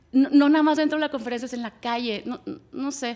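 Over a quiet background, a woman speaks in an animated tone. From Monterrey, northern Mexico; Mexico. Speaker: music booker and marketing director; podcast guest. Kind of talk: casual chat. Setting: studio. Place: studio. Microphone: studio mic.

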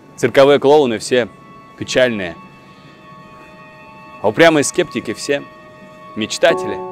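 A man talks at a fairly slow pace with very wide pitch swings, faint music behind him, and a dry sound with no echo. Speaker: actor. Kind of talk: poetry reading. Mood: warm, wistful, intimate. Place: street. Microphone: lapel.

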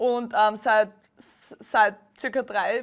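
A woman speaks with a fairly high pitch and monotone, flat intonation. The background is quiet. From Austria, Styria. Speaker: beach volleyball player. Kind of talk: TV interview.

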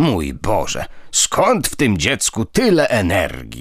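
Using a put-on character voice, a man growls at a fairly slow pace. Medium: read story. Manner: mild, gently reproachful.

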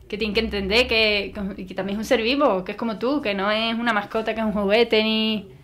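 Her pitch fairly high and her intonation fairly even, a woman talks at a fairly quick pace with big swings in loudness. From Andalusia, Spain. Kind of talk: interview testimony.

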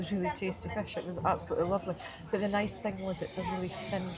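A woman speaks at a very fast pace with clear music in the background. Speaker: vlogger. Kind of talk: casual vlog chat, food review. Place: bar. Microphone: phone near.

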